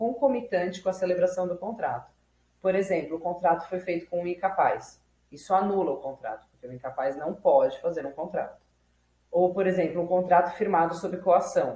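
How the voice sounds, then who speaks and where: A woman has an unremarkable speaking voice with a medium pitch. She talks at a moderate pace. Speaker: law student and YouTube educator. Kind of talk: tutorial. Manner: casual, self-correcting.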